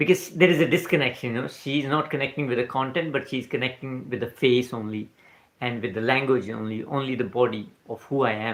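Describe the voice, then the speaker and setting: With ordinary pitch variation, a man of medium pitch talks at a fairly quick pace. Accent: Indian. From India, Punjab. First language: not English. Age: 40s. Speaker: spiritual mindset livestreamer. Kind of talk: live stream talk. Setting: night-time livestream. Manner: casual, halting with fillers.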